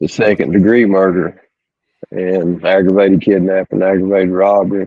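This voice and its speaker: With an East Tennessee accent, a man speaks at a moderate pace in a very deep, low voice with monotone, flat intonation. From East Tennessee, small town. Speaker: ex-prisoner. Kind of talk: interview, personal story. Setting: podcast.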